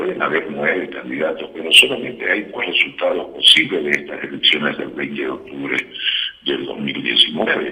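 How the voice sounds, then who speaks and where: There is noticeable background noise here. A man speaks at a moderate pace with big swings in loudness. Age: 60s. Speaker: politician. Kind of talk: interview. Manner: hesitant with fillers.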